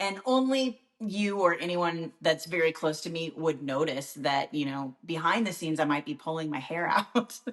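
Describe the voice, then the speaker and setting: Here is a woman with an unremarkable speaking voice, pitched fairly low. She talks at a moderate pace with lively intonation. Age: 50s. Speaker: TV host. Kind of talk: casual chat.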